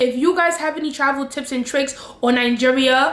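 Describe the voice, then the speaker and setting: Using a New York accent, a woman speaks with a high pitch, an animated tone, and ordinary pitch variation at a moderate pace. Noticeable background noise runs under her voice. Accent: New York American. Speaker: travel vlogger. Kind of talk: casual vlog talk to camera.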